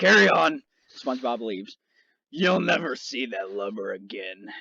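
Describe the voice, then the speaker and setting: A man uses a put-on character voice that is raspy and medium in pitch. He goes at a moderate pace. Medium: game stream. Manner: salty sea-captain talk.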